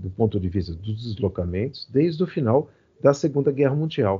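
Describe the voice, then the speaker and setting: His voice somewhat breathy, a man talks with very wide swings in pitch. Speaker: poet and literature professor. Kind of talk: interview. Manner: halting, many fillers.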